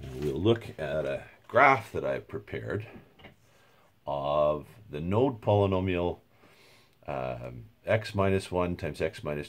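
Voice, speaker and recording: Vocal fry runs through this voice as it moves at a moderate pace with very wide pitch swings. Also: man. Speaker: university lecturer. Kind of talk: lecture. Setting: home recording. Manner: halting, with filler words.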